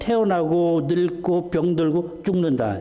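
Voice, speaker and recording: A man's speech carries audible room echo. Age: 60s. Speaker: visiting pastor. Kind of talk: sermon.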